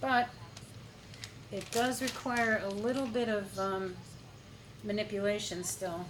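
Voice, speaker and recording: Against noticeable background noise and audible room echo, a woman talks fairly slowly at a fairly high pitch with ordinary pitch variation. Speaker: acrylic pour artist. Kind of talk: tutorial. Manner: quieter than usual while working.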